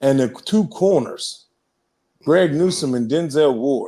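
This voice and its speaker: A man's dark, mellow tone sits at a fairly high pitch with ordinary pitch variation. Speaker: sports podcast co-host. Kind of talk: casual chat.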